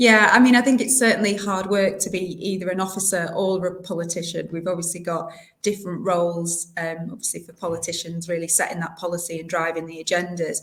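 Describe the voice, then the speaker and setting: With a northern English accent, a woman speaks at a very fast pace with hardly any pauses. Her pitch is fairly low and her intonation fairly even. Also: big swings in loudness. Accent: non-local northern English, noticeable. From South Yorkshire, England (North Doncaster). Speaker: local government director. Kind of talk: interview. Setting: podcast.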